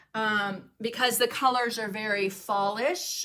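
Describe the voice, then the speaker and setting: Fairly high and bright with a sharp edge, a woman's voice with a Southern US accent moves at a fairly slow pace. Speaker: craft painting teacher and livestreamer. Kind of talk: casual livestream chat with viewers. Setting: home studio livestream. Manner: casual, many fillers.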